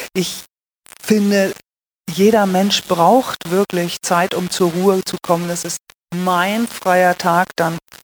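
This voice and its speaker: With a northern German accent, a woman of medium pitch speaks at a very slow pace in a monotone, flat intonation with long, frequent pauses, in a dry, close sound with no echo on a very clean recording with a silent background. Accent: German (northern) accent in Swiss setting. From northern Germany, Lüneburg Heath. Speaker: pastor. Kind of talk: interview. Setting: church.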